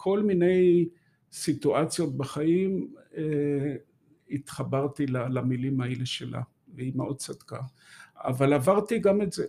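Speaking very slowly with long, frequent pauses, a man uses a fairly high pitch, ordinary pitch variation, and a dark, mellow, somewhat breathy tone. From Israel, Haifa area. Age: 70s. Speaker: author. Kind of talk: interview. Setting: studio.

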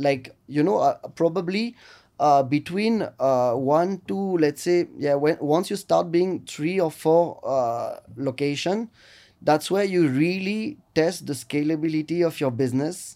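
This man speaks fairly slowly with a French accent, his voice fairly high in pitch with a dark, mellow tone and ordinary pitch variation. His loudness stays very even, and the recording is very clean with a silent background. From northern France, Lille. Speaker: restaurant entrepreneur. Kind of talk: interview. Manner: halting.

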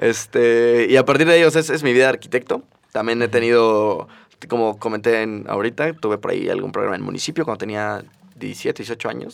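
Here a man moves at a fairly quick pace in an ordinary speaking voice, medium in pitch with ordinary pitch variation. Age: 20s. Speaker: podcast co-host, architect. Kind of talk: casual chat. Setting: studio.

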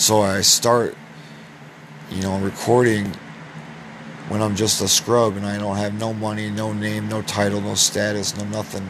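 In an American accent, a man speaks at a moderate pace with a fairly low pitch and monotone, flat intonation. Long, frequent pauses break up his words over noticeable background noise. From US Midwest (Iowa). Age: 20s. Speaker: podcast host. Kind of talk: solo monologue.

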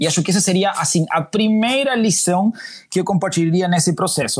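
A man with a slight Uruguayan accent speaks in a high voice with lively intonation. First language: Spanish (speaking Portuguese). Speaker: diversity and inclusion manager. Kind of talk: interview. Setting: remote call.

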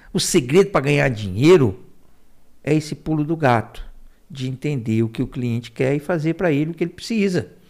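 In a very clean recording with a silent background, a man talks at a fairly quick pace in a fairly high voice with lively intonation, an unremarkable speaking voice. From Ceará, Brazil (raised in Fortaleza). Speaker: small business agency director. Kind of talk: interview.

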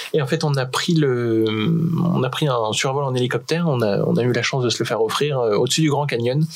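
A man talks at a fairly quick pace with a medium pitch, ordinary pitch variation and very even loudness. Room echo is audible, and there is noticeable background noise. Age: 30s. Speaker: adventurer and association co-founder. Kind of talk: casual interview. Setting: radio studio.

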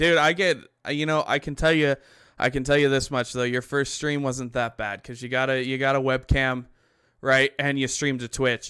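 On a very clean recording with a silent background, a man with a normal speaking voice speaks at a medium pitch and a moderate pace, his intonation fairly even. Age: 20s. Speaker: podcast host, gamer streamer. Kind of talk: casual chat.

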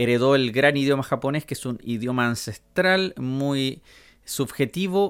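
A man with a Chilean accent speaks at a fairly slow pace, his medium pitch rising and falling in an ordinary way. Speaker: podcast host. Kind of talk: casual monologue. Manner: hesitant, many fillers.

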